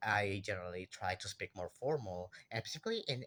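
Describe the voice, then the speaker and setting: This man talks at a moderate pace with a fairly low pitch. His tone is bright and sharp. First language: Spanish. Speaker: university student. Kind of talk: class assignment monologue. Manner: halting.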